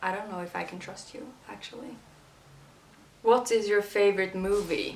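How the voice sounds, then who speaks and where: A woman speaks with a Swedish accent and fairly even intonation. Noticeable background noise and audible room echo fill the recording. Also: medium pitch for a woman, moderate pace, big swings in loudness. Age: 20s. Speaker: YouTuber. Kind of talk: casual Q&A vlog.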